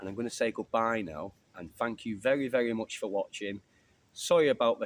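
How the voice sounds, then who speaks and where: A man with an English accent, fairly low pitch, very fast pace. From England. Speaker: bushcraft YouTuber. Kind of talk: casual vlog chat. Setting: outdoors. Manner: fast at times.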